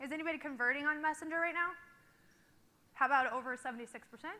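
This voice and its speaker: A woman with a high, bright, sharp voice talks at a very fast pace in a raised, projected voice, her loudness swinging widely and her speech broken by long, frequent pauses. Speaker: company founder and social media director. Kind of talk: conference keynote. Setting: stage with audience. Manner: energetic.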